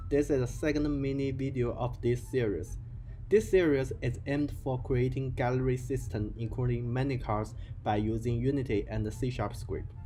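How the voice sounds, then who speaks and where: A man's somewhat breathy voice with a non-native accent, medium in pitch, dark and mellow in tone, fairly even in intonation, at a moderate pace. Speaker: game development tutorial creator. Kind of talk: software tutorial narration.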